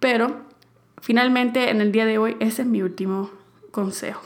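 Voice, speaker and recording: At a fairly high pitch, a woman with a plain, everyday voice speaks at a moderate pace with ordinary pitch variation. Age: 20s. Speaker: podcast host. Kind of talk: advice monologue.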